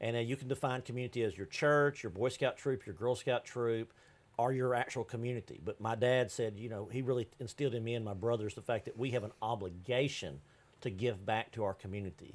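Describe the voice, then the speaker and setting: A speaker with an East Texas accent talks at a fairly quick pace with ordinary pitch variation. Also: man, medium pitch for a man. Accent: East Texas Southern US. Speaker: business consultant. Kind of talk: TV interview. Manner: loud; animated.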